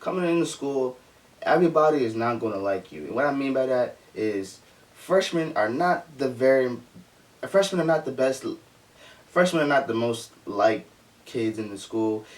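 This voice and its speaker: Over noticeable background noise, a man with a medium pitch and lively intonation talks at a moderate pace, breaking often with long pauses. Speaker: youtuber giving advice. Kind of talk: casual vlog monologue. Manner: halting, many fillers and restarts.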